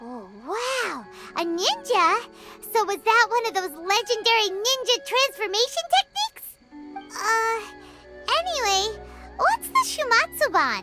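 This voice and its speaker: A put-on character voice, extremely high in pitch and fairly slow, with faint music in the background. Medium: machinima. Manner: excitable, chirpy.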